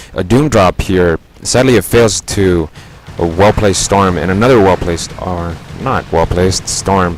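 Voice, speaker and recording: Noticeable background noise sits behind a man's very deep, low voice. He talks at a moderate pace with ordinary pitch variation. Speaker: video game commentator. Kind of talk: replay commentary.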